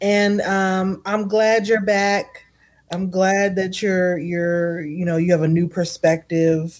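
Fairly slow speech in a plain, everyday voice, its pitch varying in an ordinary way. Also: woman. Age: 40s. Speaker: podcast host. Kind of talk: casual chat.

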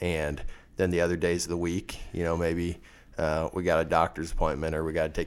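The speaker talks at a fairly quick pace with a Midwestern US accent. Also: man, very clean recording, silent background. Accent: rural Midwestern American. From west central Kansas. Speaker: farmer and seed seller. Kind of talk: interview.

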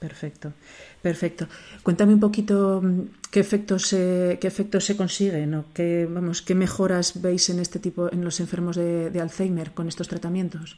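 A woman with a dark, mellow tone speaks at a moderate pace and fairly low pitch, her intonation monotone and flat. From Zaragoza, Spain. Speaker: podcast host. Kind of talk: interview.

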